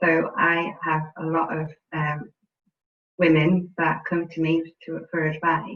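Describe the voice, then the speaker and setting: A woman talks with a British accent. Her delivery is very slow and monotone, with flat intonation. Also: fairly low pitch for a woman. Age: 30s. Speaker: housing sector professional. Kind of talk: panel discussion.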